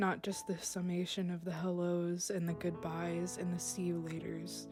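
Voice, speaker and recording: A woman speaks at a fairly slow pace. Music plays in the background. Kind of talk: spoken word poetry. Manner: unscripted, raw, some stumbling.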